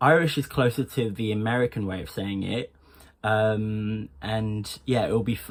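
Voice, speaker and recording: Against a very clean recording with a silent background, a man speaks in a plain, everyday voice, fairly low-pitched with fairly even intonation. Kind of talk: accent tutorial.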